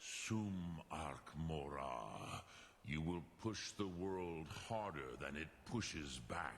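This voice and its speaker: A man puts on a character voice, speaking very slowly at a very deep, low pitch over clear background noise. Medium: video game. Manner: slow, solemn, measured.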